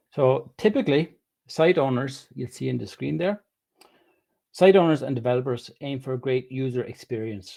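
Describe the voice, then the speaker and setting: A man speaks at a moderate pace with lively intonation and a dark, mellow tone. The recording is very clean, with a silent background. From Ireland. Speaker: web developer. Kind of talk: presentation talk.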